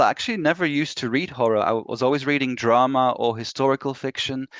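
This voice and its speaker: A man with a Belgian accent speaks at a medium pitch with fairly even intonation. The sound is dry and close with no echo, and the background is quiet. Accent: Belgian Flemish accent in English. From Belgium (Flemish). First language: Flemish/Dutch. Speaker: author. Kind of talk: interview.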